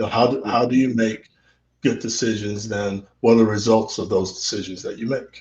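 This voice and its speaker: Somewhat breathy, the voice speaks with an American accent at a moderate pace and with fairly even intonation. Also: man, medium pitch for a man. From Central Texas. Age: 60s. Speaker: interview guest, father. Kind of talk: casual interview. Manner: halting, many fillers and repetitions.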